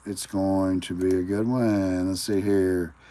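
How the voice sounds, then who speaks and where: In an American accent, a man speaks with a very deep, low pitch and a dark, mellow tone. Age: 40s. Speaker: livestreamer. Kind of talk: casual live stream talk. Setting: live stream. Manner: halting, thinking aloud.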